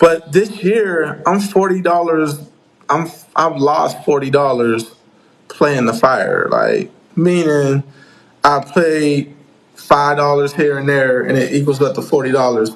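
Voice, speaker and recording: A man at a fairly high pitch and fairly slow pace, with noticeable background noise. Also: ordinary pitch variation. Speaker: craps teacher, YouTuber. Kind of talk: live stream chat answering viewer questions. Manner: loud; casual, repetitive.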